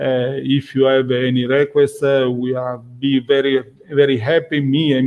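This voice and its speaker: A man with a non-native accent speaks at a fairly slow pace and a medium pitch. His intonation is monotone and flat. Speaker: functional safety instructor. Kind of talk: webinar closing remarks. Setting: online webinar. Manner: halting, many fillers.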